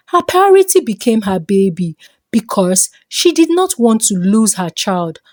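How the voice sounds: A woman speaks with a fairly high pitch and big pitch swings. The sound is dry and close, with no echo. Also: fairly slow pace, slightly mellow tone.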